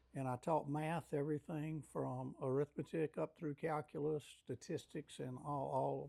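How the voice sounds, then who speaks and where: The voice has a dark, mellow tone and moves at a moderate pace with ordinary pitch variation. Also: man. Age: 70s. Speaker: retired math teacher. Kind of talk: interview. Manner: hesitant, many fillers.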